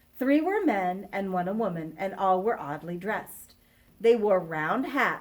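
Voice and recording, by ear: Lively intonation colors this passage of reading aloud in a natural voice.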